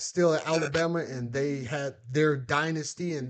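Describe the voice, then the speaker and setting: Pitched fairly high, a man's voice shows ordinary pitch variation. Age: 40s. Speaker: sports YouTuber, former football player. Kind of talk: live game reaction commentary. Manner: animated, riled up; halting, repeats words.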